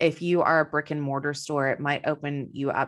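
A woman with a slight Texan accent speaks at a moderate pace in a very deep, low voice, against a quiet background. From Texas. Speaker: business coach. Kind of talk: interview.

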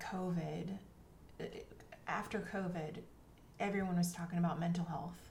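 Amid audible room echo, a woman speaks in a fairly low pitch with ordinary pitch variation. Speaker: literary agent and author coach. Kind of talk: casual interview.

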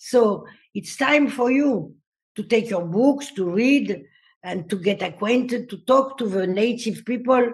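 Somewhat breathy and fairly high-pitched, a woman talks at a fairly slow pace with lively intonation. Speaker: dancer and choreographer. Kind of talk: interview conversation.

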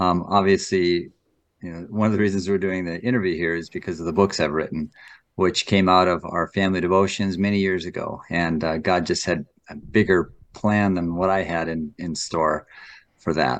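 Against a quiet background, a man speaks. His very deep, low voice has fairly even intonation. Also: moderate pace. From North Dakota. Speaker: author and former fighter pilot. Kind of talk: interview. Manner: halting.

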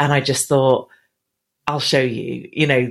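A woman with an English accent, talking at a fairly slow pace. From England. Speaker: business speaker and marketing trainer. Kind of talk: interview.

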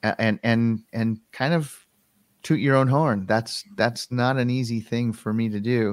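With an American accent and a normal speaking voice, a man speaks at medium pitch and a fairly slow pace with fairly even intonation, in a very clean, dry, close recording with no echo and a silent background. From Western Colorado, US. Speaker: filmmaker and video producer. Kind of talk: casual interview.

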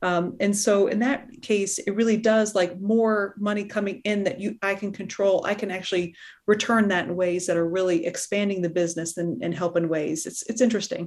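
A woman speaks in a normal speaking voice at medium pitch, at a fairly quick pace with hardly any pauses and fairly even intonation. The recording is very clean, with a silent background. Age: 40s. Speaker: podcast host, general surgeon and coach. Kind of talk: interview conversation.

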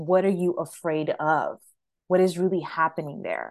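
A woman with an unremarkable speaking voice talks fairly slowly at a fairly low pitch, her intonation fairly even, against a quiet background. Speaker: career coach. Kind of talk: casual interview.

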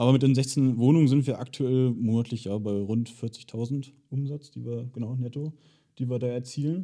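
This man has a dark, mellow tone at a medium pitch, speaking at a moderate pace with fairly even intonation. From Germany, Hildesheim area. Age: 20s. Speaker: short-term rental entrepreneur. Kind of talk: interview.

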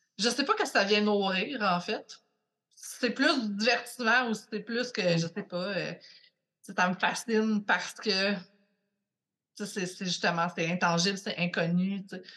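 A woman with a Quebec accent speaks very slowly in a bright, sharp, medium-pitched voice with ordinary pitch variation and long, frequent pauses. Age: 30s. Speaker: podcast guest. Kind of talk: casual chat.

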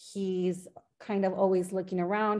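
Speaking at a moderate pace, a woman has a plain, everyday voice at a medium pitch. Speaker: podcast host and trauma life coach. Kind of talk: casual interview chat.

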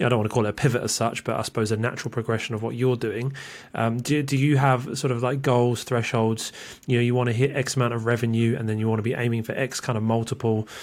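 Very fast and monotone, a man talks with flat intonation. The recording is very clean, with a silent background. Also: medium pitch for a man. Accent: British. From UK. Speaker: podcast host. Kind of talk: interview.

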